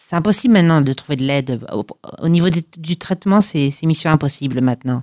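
The speech comes at a fairly quick pace with lively intonation, in a dry, close sound with no echo. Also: woman. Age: 40s. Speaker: testimony guest on mental health. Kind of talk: personal testimony. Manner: halting.

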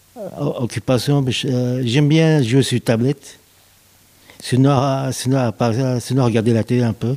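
Over noticeable background noise, the speaker goes at a very slow pace with fairly even intonation. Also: man, medium pitch for a man. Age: 40s. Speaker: gardener in a sheltered workshop. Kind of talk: interview. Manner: halting, with repetitions.

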